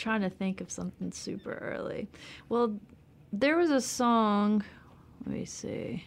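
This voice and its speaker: In an American accent, a woman speaks at a fairly slow pace with long, frequent pauses and big swings in loudness. Her pitch is fairly high, with ordinary variation. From US South (Memphis, Alabama, Texas). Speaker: singer-songwriter. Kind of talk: interview. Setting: studio.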